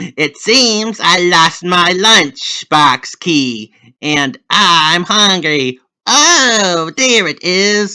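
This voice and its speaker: In a put-on character voice, a man talks very slowly at a high pitch with lively intonation. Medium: read story. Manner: playful, mischievous.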